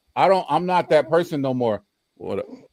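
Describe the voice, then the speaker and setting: An American accent from a man, fairly high in pitch with ordinary variation, at a fairly quick pace, on a very clean recording with a silent background. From US South (Louisiana/Mississippi). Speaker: panel guest, chess teacher. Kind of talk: panel discussion on live stream. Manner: animated, repetitive.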